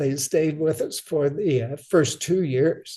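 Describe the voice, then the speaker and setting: The voice has a dark, mellow tone and an American accent. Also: man. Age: 80s+. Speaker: retired Air Force and airline pilot. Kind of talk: interview. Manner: halting, many fillers.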